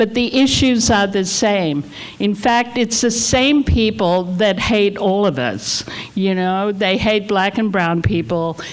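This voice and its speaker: A woman speaks at a very slow pace and a medium pitch, with very even loudness. Noticeable background noise runs behind her. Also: ordinary pitch variation. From Australia. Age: 70s. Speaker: community center leader. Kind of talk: invocation speech at community meeting.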